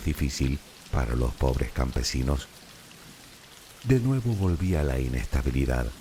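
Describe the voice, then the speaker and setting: A man with a very deep, low pitch speaks at a fairly slow pace in a calm tone. His intonation is lively, and there is noticeable background noise. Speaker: sleep story narrator. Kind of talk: sleep story. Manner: calm, slow.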